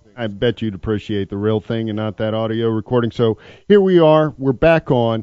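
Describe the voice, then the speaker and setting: A man with an unremarkable speaking voice, ordinary pitch variation and a fairly quick pace. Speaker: radio host. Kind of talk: talk radio.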